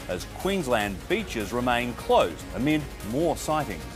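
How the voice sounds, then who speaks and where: Music in the background behind a man's fairly slow speech. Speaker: television news presenter. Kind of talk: TV news presenter headlines.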